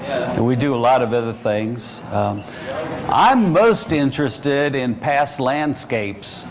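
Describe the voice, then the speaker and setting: A man in a Southern US accent, medium pitch with ordinary pitch variation, fairly slow pace, audible room echo and noticeable background noise. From US South, around Tallahassee, Florida. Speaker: university geography lecturer. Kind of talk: lecture presentation.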